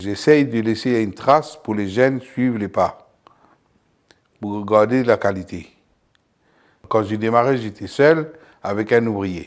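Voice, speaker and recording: A man of medium pitch at a very slow pace, with long, frequent pauses and ordinary pitch variation. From abroad, came to France at 28. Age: 60s. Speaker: company founder, butcher. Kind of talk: interview testimony.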